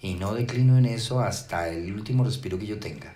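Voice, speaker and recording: A man with a normal speaking voice uses lively intonation and keeps a moderate pace. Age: 60s. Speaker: pastor. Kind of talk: sermon.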